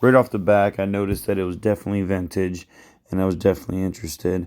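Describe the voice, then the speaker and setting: A man speaks in a fairly low, dark, mellow voice with monotone, flat intonation. The recording is very clean, with a silent background. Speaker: thrift reseller vlogger. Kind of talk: casual vlog narration.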